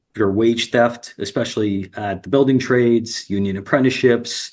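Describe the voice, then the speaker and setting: Against a quiet background, a man with an American accent speaks at a moderate pace, medium pitch and fairly even intonation. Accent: slight New Jersey accent at times. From New Jersey. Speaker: union representative. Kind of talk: interview. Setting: live stream. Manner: hesitant, many fillers.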